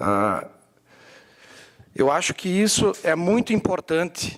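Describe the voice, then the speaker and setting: A man at a very slow pace with lively intonation. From Serra Gaúcha, Rio Grande do Sul, Brazil (Antônio Prado). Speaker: bookseller. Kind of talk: talk to an audience. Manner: hesitant, many fillers.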